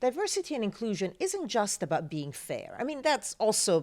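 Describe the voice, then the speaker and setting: A woman with a non-native accent talks at a very fast pace. Her pitch swings very widely. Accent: foreign accent, non-native English. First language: Italian. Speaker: journalist and TV news presenter. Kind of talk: interview answer.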